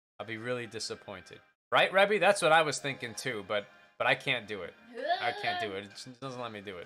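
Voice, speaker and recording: Racing at a very fast pace, a man of medium pitch speaks with very wide pitch swings and big swings in loudness, with music in the background. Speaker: vtuber streamer. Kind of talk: casual live stream chat. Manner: halting.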